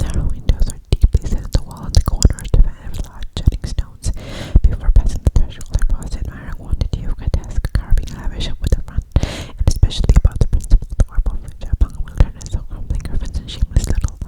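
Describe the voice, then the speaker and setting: Someone whispers at a very fast pace with hardly any pauses, while noticeable background noise is audible. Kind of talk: ASMR whispered book reading. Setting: studio, close to microphone. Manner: whispered, close-mic.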